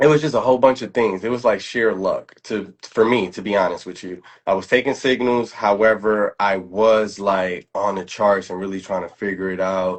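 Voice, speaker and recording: With a New York accent, a man speaks at a moderate pace and fairly low pitch, with ordinary pitch variation, big swings in loudness and hardly any pauses. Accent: New York accent, Bronx. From New York City, the Bronx. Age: 30s. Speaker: trader. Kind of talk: casual chat. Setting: livestream. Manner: frequent filler words.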